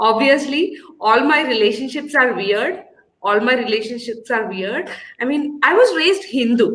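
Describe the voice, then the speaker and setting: With an Indian accent, a woman speaks at a moderate pace in a high pitch and lively intonation. Audible room echo surrounds her voice. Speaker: comedian. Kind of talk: stand-up.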